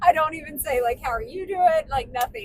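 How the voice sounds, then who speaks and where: This speaker is a woman. She talks at a moderate pace. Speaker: podcast co-host. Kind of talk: casual chat. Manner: loud.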